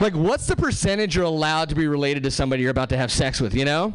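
A man with an American accent at a very fast pace, ordinary pitch variation, and noticeable background noise. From Southern California. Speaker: stand-up comedian. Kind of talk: stand-up comedy. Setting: stage with audience.

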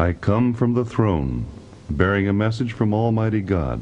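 Someone performs a put-on character voice at a moderate pace against clear background noise. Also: man, fairly low pitch for a man.

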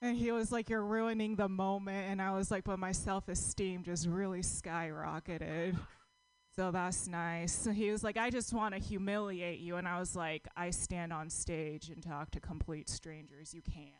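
At a moderate pace, a woman uses a normal speaking voice with medium pitch and ordinary pitch variation. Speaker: comedian. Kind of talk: stand-up. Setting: stage with audience.

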